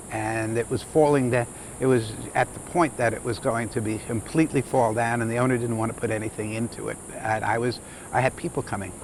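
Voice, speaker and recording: Noticeable background noise surrounds a man talking fairly quickly at a medium pitch with fairly even intonation. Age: 70s. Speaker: lodge owner. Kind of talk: interview. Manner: halting.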